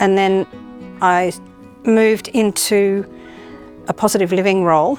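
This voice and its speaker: With music in the background, a woman with an Australian accent talks at a moderate pace and a medium pitch. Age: 60s. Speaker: aged care worker. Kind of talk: interview testimony.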